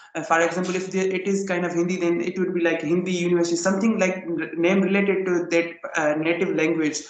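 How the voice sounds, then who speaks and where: A man's high-pitched, monotone, flat delivery at a very fast pace, with audible room echo and noticeable background noise. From Pakistan, Sindh. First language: Sindhi. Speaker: English learner. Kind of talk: casual chat. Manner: halting.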